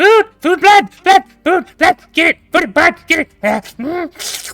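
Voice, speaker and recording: Faint music sits in the background of a put-on character voice at an extremely high pitch, delivered at a very slow pace. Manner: hungry, frenzied.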